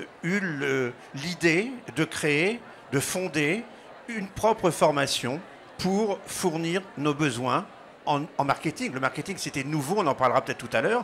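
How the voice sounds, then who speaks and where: Taking long, frequent pauses, a man speaks at a fairly slow pace in a fairly high pitch with lively intonation. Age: 60s. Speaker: business school co-founder and director. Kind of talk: interview.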